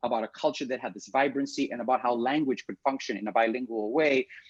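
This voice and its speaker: Talking at a very fast pace, a man with a fairly high pitch is heard in a dry, close sound with no echo. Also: quiet background. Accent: East African. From Kenya, Nairobi. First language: Swahili. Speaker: theatre director. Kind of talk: interview. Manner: halting, many fillers.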